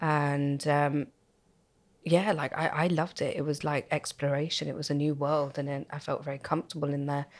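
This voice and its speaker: On a very clean recording with a silent background, a woman with a very deep, low pitch speaks at a moderate pace in a monotone, flat intonation. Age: 40s. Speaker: club night organizer. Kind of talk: casual chat.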